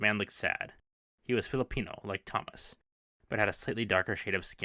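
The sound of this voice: Against a quiet background, an unforced reading voice is heard.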